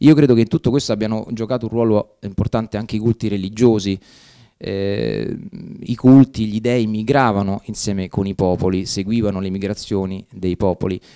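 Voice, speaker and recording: Against a quiet background, a man with a dark, mellow tone and fairly low pitch speaks at a moderate pace with fairly even intonation. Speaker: professor. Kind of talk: lecture. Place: classroom. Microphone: podium.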